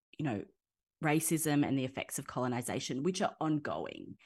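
She speaks in an Australian accent. The woman's voice is very deep and low, with ordinary pitch variation. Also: quiet background. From Nowra, south coast of New South Wales, Australia. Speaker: public policy researcher, PhD scholar. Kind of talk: interview conversation.

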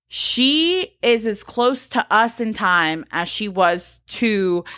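With lively intonation, a woman speaks at a medium pitch in a bright, sharp tone. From US South, Georgia. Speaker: podcast co-host. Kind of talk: casual chat with researched topic segments.

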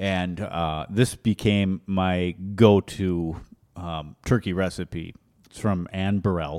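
Very slowly and with fairly even intonation, a man speaks in a very deep, low pitch with an American accent. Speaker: cooking podcast host. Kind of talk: casual chat. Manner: joking, chatty.

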